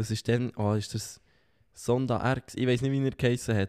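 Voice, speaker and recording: Recorded very cleanly against a silent background, with a dry, close sound and no echo, a man speaks at a moderate pace in an unremarkable speaking voice, medium in pitch and fairly even in intonation. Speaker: podcast co-host. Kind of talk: casual chat. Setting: sitting on a sofa.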